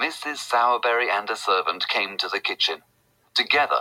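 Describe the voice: Plain reading aloud. Pitch varies in an ordinary way.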